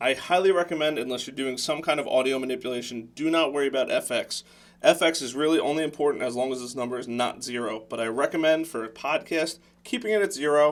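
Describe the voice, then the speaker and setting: A man's fairly high voice at a very fast pace, with ordinary pitch variation. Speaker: entrepreneur and tutorial youtuber. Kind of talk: tutorial. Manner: loud.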